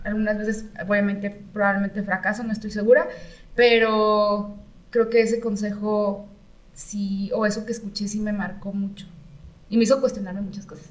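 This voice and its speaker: A woman talks at a moderate pace in a medium-pitched, somewhat breathy voice. Her intonation is monotone and flat. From Mexico, San Luis Potosí. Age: 30s. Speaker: architect and designer. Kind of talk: casual interview.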